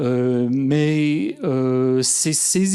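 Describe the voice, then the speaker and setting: A man's fairly high-pitched voice has a dark, mellow tone and ordinary pitch variation. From US, California (Silicon Valley). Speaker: artist. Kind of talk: conference talk. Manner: hesitant, many fillers.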